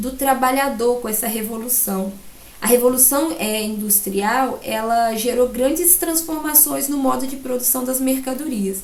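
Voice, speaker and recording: A woman speaks at a high pitch and a fairly slow pace. Noticeable background noise and audible room echo surround her. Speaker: school teacher. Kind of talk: recorded lesson. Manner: halting with fillers.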